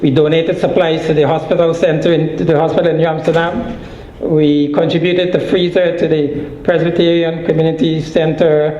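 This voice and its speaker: Amid noticeable background noise and audible room echo, a man talks at a moderate pace in a fairly high pitch with monotone, flat intonation. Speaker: nonprofit organization leader. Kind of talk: conference presentation.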